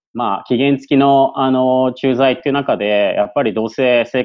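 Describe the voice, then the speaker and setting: This man speaks at a medium pitch. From Yokohama, Japan. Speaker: former returnee student. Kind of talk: interview. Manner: hesitant with many fillers; polite.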